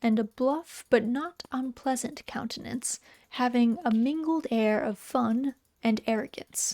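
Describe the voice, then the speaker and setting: Soft-spoken woman with a high pitch and a dark, mellow tone, fairly slow pace, ordinary pitch variation, in a dry, close sound with no echo. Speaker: VTuber streamer and storyteller. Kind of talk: literary story narration, reading aloud. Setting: cozy home stream, typing heard in background.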